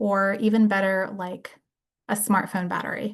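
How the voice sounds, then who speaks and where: A woman speaks at a moderate pace in a plain, everyday voice, pitched in the middle of her range. Her intonation stays fairly even over a quiet background. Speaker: brain injury case manager and presenter. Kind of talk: lecture.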